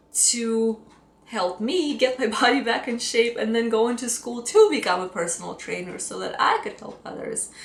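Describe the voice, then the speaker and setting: With a Russian accent and lively intonation, a woman speaks at a moderate pace in a fairly high voice over noticeable background noise. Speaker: fitness coach. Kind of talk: personal story vlog.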